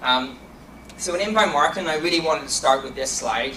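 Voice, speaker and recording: A man speaks with a fairly high pitch and ordinary pitch variation. Background noise is noticeable and room echo can be heard. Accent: Donegal. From Ireland, County Donegal. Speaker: marketing executive. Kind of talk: conference talk. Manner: fast.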